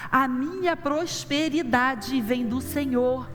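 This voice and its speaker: Audible room echo surrounds a woman's high-pitched voice, which has ordinary pitch variation. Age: 60s. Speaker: pastor. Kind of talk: sermon.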